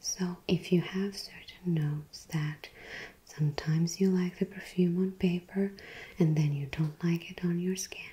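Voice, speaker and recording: Soft-spoken and somewhat breathy, a woman speaks in a fairly low, flat monotone. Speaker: perfume reviewer. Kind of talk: soft-spoken product review. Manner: soft, quiet ASMR speaking voice.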